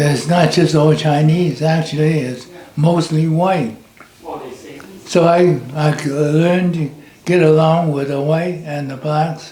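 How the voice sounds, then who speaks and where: Noticeable background noise sits behind a man speaking very slowly. His fairly high voice stays monotone and flat. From China. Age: 80s+. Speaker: war veteran. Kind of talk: interview answer.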